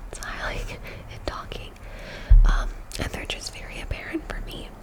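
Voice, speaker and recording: Whispering from a woman at a moderate pace, with noticeable background noise. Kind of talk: ASMR makeup tutorial, casual talk to camera. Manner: whispered, soft-spoken.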